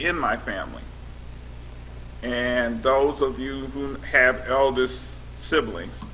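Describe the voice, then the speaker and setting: Speaking very slowly, a man is heard over clear background noise. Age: 70s. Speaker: panelist sharing life experience. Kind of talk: panel discussion. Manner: animated.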